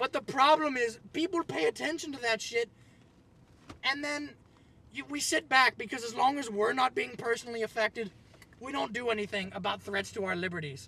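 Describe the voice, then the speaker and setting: A man with an American accent speaks in a raised, projected voice at an extremely high pitch and a moderate pace, with lively intonation, a bright, sharp tone and a dry, close sound with no echo. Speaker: video blogger. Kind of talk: rant. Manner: loud; halting.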